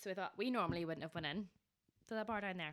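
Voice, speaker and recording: A woman with a Northern Irish accent at a very fast pace. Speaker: podcast host. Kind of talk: casual chat.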